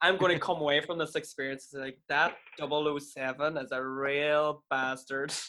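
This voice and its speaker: An Irish-accented man with a fairly high pitch and bright, sharp tone, monotone and flat, at a fairly slow pace with hardly any pauses. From Ireland. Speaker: podcast co-host. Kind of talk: casual chat, comedic banter.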